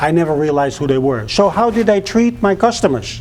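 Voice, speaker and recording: A man with a Dutch accent, very wide pitch swings, and a moderate pace, over noticeable background noise. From Netherlands. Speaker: public speaker, former flight school owner. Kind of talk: public speech.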